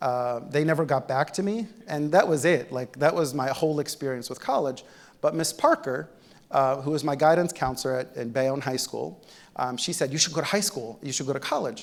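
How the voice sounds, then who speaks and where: Speaking with an Arabic accent, a man has a fairly high pitch, ordinary pitch variation and a fairly quick pace. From Egypt, then New Jersey from about age ten. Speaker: physician-scientist, keynote speaker. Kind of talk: keynote speech. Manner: conversational, with many fillers.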